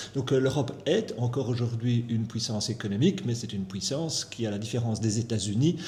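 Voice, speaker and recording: Amid noticeable background noise and audible room echo, a man speaks at medium pitch with ordinary pitch variation and a fairly quick pace. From Belgium, Brussels. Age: 60s. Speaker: economist. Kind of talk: interview.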